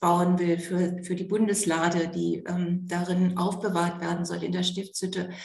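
In a room with audible echo, a woman speaks at a medium pitch. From Germany, East Frisia. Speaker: pastor. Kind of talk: interview.

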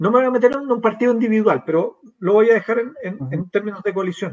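A high-pitched man with lively intonation at a fairly quick pace. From Chile, San Miguel (Santiago). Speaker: pollster and academic. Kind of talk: political interview.

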